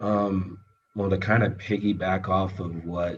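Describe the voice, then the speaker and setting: A man's very deep, low, somewhat breathy voice at a fairly slow pace. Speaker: entrepreneur. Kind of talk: presentation and Q&A on a video call. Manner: halting, many fillers.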